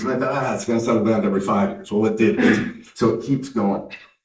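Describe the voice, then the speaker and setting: A man talks at a very fast pace in a medium pitch with an American accent. Room echo is audible. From Canada. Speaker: tech company founder and CEO. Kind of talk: conference keynote speech.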